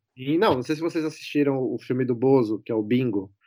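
A man's dark, mellow tone comes through on a very clean recording against a silent background. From Brazil, São Paulo. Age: 30s. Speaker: former TV production worker. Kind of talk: casual chat.

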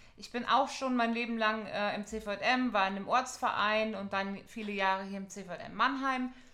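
Against noticeable background noise, a woman with a fairly high pitch talks with hardly any pauses, fairly even intonation, and big swings in loudness. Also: moderate pace. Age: 30s. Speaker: lecturer in youth work training, podcast co-host. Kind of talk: podcast intro, semi-scripted.

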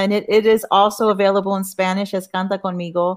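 With an American accent, a woman talks at a very fast pace in a monotone, flat intonation. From Corpus Christi, Texas. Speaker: author. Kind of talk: panel discussion.

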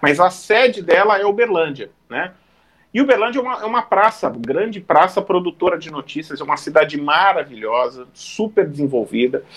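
This man's voice is high-pitched and swings very widely in pitch. He keeps a moderate pace. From Santos, São Paulo coast, Brazil. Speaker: sports journalist, TV reporter. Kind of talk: casual chat. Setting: online live stream.

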